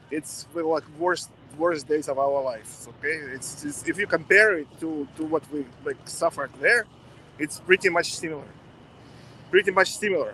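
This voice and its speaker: The speaker has a strong Russian accent and a moderate pace. Pitch varies in an ordinary way. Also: man, fairly high pitch for a man. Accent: thick Russian. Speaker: protester interviewed on the street. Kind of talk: street interview. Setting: outdoors at a street protest.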